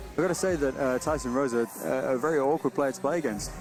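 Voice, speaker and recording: A man speaking at a medium pitch, with ordinary pitch variation, is heard over background music. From England. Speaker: colour commentator, team manager. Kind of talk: live commentary. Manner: halting.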